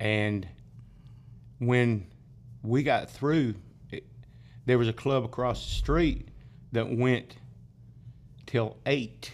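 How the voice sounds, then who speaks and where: With a South Carolina accent, a man speaks at medium pitch with ordinary pitch variation. His pace is very slow, broken by long, frequent pauses. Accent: US Southern (South Carolina). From upstate South Carolina (Greenville). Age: 60s. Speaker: drummer and bandleader. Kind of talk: casual interview chat, storytelling.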